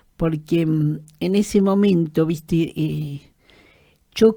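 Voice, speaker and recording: A woman's dark, mellow voice, fairly low in pitch. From Argentina, Greater Buenos Aires (La Matanza). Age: 70s. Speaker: trade unionist and human rights activist. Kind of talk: interview, personal testimony. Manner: halting, many fillers and repetitions.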